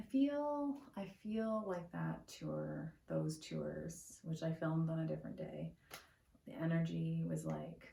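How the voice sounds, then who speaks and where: A woman speaks quietly. Her pace is very slow. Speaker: art YouTuber. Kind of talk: casual vlog talk to camera. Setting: at home.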